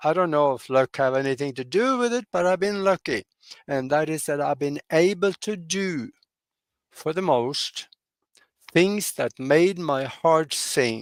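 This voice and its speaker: A man speaks at a fairly slow pace, his pitch fairly high and his intonation lively. The sound is dry and close, with no echo. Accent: Norwegian. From Norway. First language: Norwegian. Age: 80s+. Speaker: pilot and broadcaster. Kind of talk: interview. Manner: halting, many fillers.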